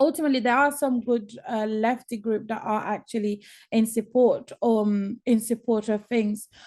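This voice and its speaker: A woman mumbles at a fairly slow pace, her pitch fairly high and her intonation fairly even. The background is quiet. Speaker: activist. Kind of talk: panel discussion. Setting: webinar video call. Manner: hesitant, mumbling.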